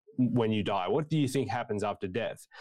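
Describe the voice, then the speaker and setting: The voice carries an Australian accent with ordinary pitch variation. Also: man. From Tasmania, Australia (Hobart). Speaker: preaching student. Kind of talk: interview conversation. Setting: video call.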